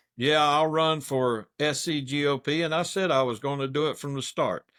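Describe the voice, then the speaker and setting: A man with a South Carolina accent and a fairly high pitch. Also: very clean recording, silent background. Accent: Southern US (South Carolina). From US South, Anderson County, South Carolina. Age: 60s. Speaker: political candidate. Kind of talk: interview.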